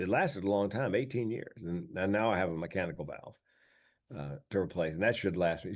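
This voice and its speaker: Over a quiet background, a man with an ordinary speaking voice talks in a fairly low pitch. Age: 60s. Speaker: comedian and speaker. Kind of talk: interview. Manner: conversational with repeated false starts.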